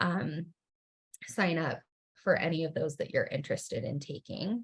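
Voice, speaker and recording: The speaker is a woman. There is some breathiness in her voice. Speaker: university research education staff presenter. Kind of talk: webinar presentation. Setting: video call. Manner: fast.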